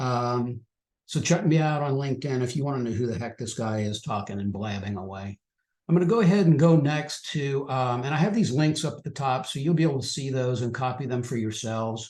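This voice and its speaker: A man talks at a fairly quick pace in a medium pitch, somewhat breathy, with ordinary pitch variation. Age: 60s. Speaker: financial educator presenting on trading. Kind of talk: webinar presentation. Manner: casual, with fillers and repetitions.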